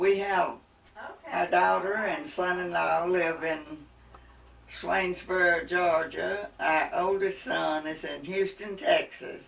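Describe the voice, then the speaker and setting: A woman with a Mississippi accent at a very slow pace, amid noticeable background noise and audible room echo. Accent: Mississippi Southern US. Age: 80s+. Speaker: interviewee, retired mother-in-law. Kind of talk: family oral history interview.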